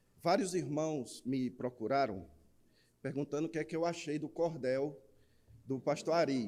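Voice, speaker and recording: A man with a northeastern Brazilian accent speaks at a fairly slow pace in a dark, mellow tone. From Northeast Brazil. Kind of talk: preaching to a congregation.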